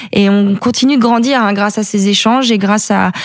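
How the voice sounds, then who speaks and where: Her delivery is a normal speaking voice, as the woman talks at a fairly high pitch with fairly even intonation. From Brittany (Côtes d'Armor). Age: 30s. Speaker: professional cyclist. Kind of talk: interview. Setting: studio.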